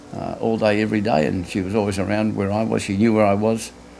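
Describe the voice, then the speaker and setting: Over music in the background, a man with an Australian accent talks at a very fast pace. His pitch is fairly low, with ordinary variation. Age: 70s. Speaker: island hermit, ex-businessman. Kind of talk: interview answer.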